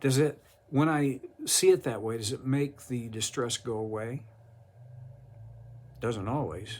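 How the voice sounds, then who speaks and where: Speaking at a very slow pace, a man with a medium pitch sounds somewhat breathy and uses lively intonation. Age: 70s. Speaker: Bible teacher. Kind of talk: devotional Bible teaching. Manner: halting.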